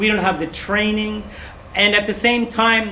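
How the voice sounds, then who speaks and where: Amid noticeable background noise and audible room echo, a man speaks in a raised, projected voice at a high pitch. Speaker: English teacher trainer. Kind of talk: presentation.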